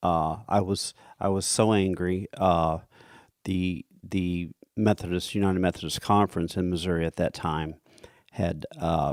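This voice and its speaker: A man with a Midwestern American accent speaks fairly slowly in a very deep, low voice with fairly even intonation, the very clean recording dry and close with no echo and a silent background. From US Midwest. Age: 60s. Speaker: church committee leader. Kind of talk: interview testimony. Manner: halting, many fillers.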